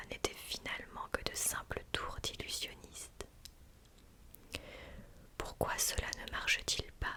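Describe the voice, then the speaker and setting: With noticeable noise in the background, a woman whispers extremely slowly. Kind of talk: whispered ASMR story reading. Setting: close microphone studio recording. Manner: whispered, soft, slow.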